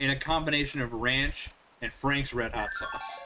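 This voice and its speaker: A man speaks with an American accent at a fairly slow pace. Noticeable background noise runs underneath. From Northern Virginia, US. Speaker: gaming streamer. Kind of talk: casual chat. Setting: live stream with headphones.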